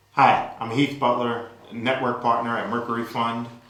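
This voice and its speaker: A man with an American accent and medium pitch, with audible room echo and noticeable background noise. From New Orleans, US South. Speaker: venture capital investor. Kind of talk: interview. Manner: hesitant with fillers.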